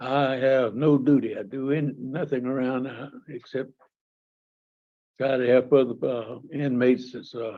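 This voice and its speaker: This man talks at a fairly slow pace in a monotone, flat intonation, with big swings in loudness. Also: medium pitch for a man. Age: 70s. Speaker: prison inmate. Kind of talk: parole hearing testimony.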